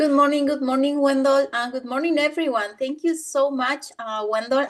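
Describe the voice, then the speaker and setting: Speaking with a Spanish accent, a woman uses a high pitch and fairly even intonation at a moderate pace with hardly any pauses. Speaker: business team member. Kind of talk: testimony in a training session. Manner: halting.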